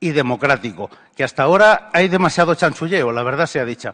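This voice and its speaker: A man with a normal speaking voice talks at a fairly quick pace, fairly high in pitch and lively in intonation. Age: 60s. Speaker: audience member. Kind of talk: audience question at a lecture.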